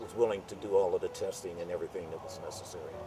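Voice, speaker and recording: A man's voice with music in the background. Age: 70s. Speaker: retired US Air Force, CMT patient. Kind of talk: interview answer. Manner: hesitant, with many fillers.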